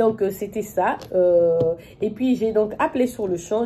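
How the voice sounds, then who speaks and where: Over noticeable background noise, a woman talks in an animated tone with ordinary pitch variation. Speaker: YouTuber. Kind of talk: testimony. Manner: fast.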